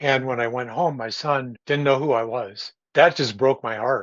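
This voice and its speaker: Intonation stays fairly even as a man talks with a Midwestern American accent. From US Midwest, Columbus, Ohio. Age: 70s. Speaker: veteran pilot and activist. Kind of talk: interview conversation. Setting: podcast.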